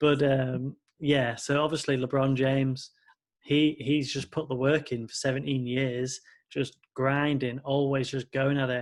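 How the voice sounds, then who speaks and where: A man with a British accent speaks in a fairly high pitch and a monotone, flat intonation on a very clean recording with a silent background. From Britain. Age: 20s. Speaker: podcast host and music producer. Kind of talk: interview.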